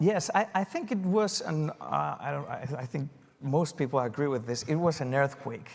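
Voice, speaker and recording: With a Spanish accent, a man talks at a fairly high pitch using ordinary pitch variation. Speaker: TV news anchor. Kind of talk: panel conversation.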